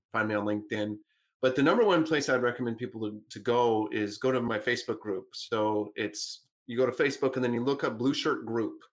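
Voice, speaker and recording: On a very clean recording with a silent background, a man with an unremarkable speaking voice talks at a fairly quick pace and medium pitch. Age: 30s. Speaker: business coach and author. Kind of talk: interview.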